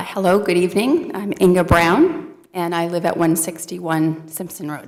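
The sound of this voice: Putting on a character voice, a woman speaks in a raspy, hoarse, fairly low pitch at a moderate pace with fairly even intonation.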